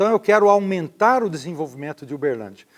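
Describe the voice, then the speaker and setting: This voice belongs to a man. It rises and falls across a very wide range. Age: 60s. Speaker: mayoral candidate, former university rector. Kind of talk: interview.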